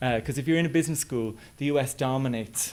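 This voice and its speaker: In an Irish accent, a man is talking. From west of Ireland. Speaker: business school head, academic. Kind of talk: presentation. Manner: hesitant, many fillers.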